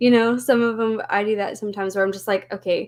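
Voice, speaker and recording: Her voice sits fairly high in pitch for a woman. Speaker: booktuber. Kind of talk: casual chat. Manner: slight W-like R sound.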